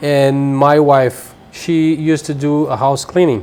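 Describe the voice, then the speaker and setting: This man has a Brazilian accent. His pitch sits fairly high. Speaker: cleaning business owner. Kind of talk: interview.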